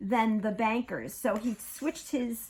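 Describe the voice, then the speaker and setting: A woman speaks in a Brooklyn accent with a high pitch and an animated tone. The recording is very clean, with a silent background. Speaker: craft artist showing her handmade journals. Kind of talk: casual show-and-tell chat.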